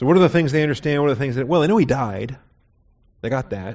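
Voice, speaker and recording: A man talks with an American accent, his medium pitch varying in an ordinary way. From US Pacific Northwest (Seattle). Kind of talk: sermon.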